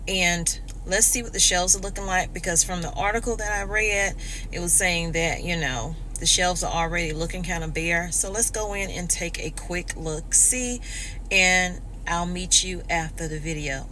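A woman speaks at a moderate pace. The sound is dry with no echo, over light background noise. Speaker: vlogger. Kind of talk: casual vlog chat. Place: car. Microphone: phone near.

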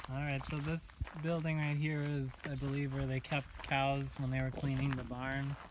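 A moderate pace, with a dry sound with no echo and noticeable background noise. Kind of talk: casual walking tour commentary. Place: farm machine. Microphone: phone near.

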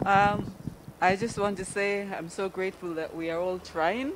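A woman keeps a moderate pace and fairly even intonation against noticeable background noise. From Kenya. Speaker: church member at fundraiser. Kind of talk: fundraising appeal. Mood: grateful, hopeful. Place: church. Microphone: handheld.

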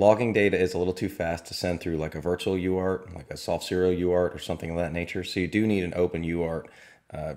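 In a very deep, low pitch, a man speaks at a very fast pace with fairly even intonation over a quiet background. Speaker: drone tech reviewer; drone hobby reviewer. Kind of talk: tutorial. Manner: casual. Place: home room.

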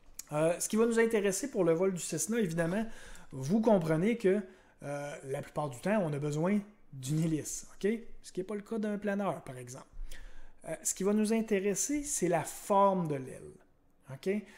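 In a Quebec accent, a man with a high pitch and dark, mellow tone speaks at a moderate pace with lively intonation. He takes long, frequent pauses, and his loudness swings widely. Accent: Québécois French. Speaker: science teacher. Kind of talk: lecture. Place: home room. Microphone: webcam.

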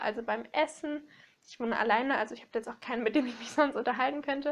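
A high-pitched woman's voice with fairly even intonation. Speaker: book vlogger. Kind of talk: casual vlog chat. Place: home room.

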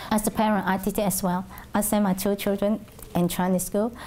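In a Hong Kong accent, a woman speaks at a medium pitch with a dark, mellow tone. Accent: Hong Kong Cantonese-accented English. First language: Cantonese. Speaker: Cantonese language teacher. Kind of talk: oral history interview answer. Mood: calm, reflective. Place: classroom. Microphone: lapel.

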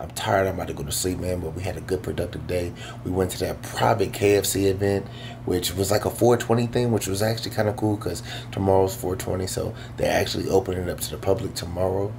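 Over noticeable background noise, a man talks at a very fast pace in a very deep, low pitch. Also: ordinary pitch variation. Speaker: vlogger. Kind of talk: casual vlog chat. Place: home room. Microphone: phone near.

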